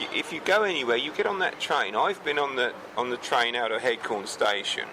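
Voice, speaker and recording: A man's medium-pitched voice at a fairly quick pace with very wide pitch swings, over noticeable background noise. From Kent, England. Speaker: farmer. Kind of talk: interview answer.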